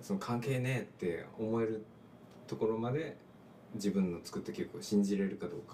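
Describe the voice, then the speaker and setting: Noticeable background noise sits behind a man talking at a moderate pace. His pitch is medium, with ordinary variation. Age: 30s. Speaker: musician. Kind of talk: casual chat. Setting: small room at a home.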